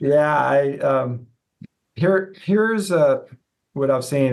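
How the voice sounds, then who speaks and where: A man talking at a very slow pace, his pitch swinging very widely. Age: 60s. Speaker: physical therapist and professor. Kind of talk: casual interview. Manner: halting, many fillers.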